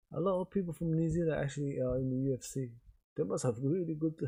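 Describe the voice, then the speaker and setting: Quiet and very fast, a man speaks at a fairly high pitch in a dark, mellow tone, somewhat breathy, with ordinary pitch variation. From England. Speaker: live streamer and sports commentator. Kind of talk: live commentary. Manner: quiet, low-key.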